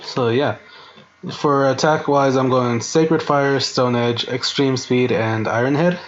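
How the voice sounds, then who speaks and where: Music plays behind a man speaking at medium pitch. His intonation stays fairly even. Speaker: gaming YouTuber. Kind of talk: tutorial. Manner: casual, hesitant.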